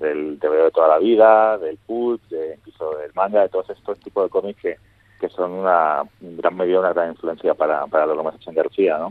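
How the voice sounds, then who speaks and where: Loudness rises and falls sharply as this man talks. He moves at a fairly quick pace. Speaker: comics writer. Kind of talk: interview.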